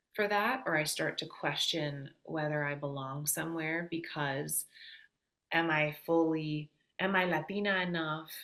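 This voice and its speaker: A woman with a Midwestern accent speaks in a very deep, low voice with a bright, sharp tone and ordinary pitch variation. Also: very clean recording, silent background. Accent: very Midwestern American. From US Midwest. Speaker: singer-songwriter. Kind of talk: podcast interview. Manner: halting, many fillers.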